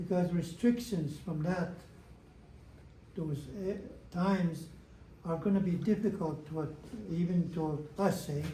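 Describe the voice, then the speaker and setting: With a dark, mellow tone and a high pitch, a man speaks at a fairly slow pace with long, frequent pauses, fairly even intonation, and audible room echo. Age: 80s+. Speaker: elder. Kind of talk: talk to an audience. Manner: halting, repetitive.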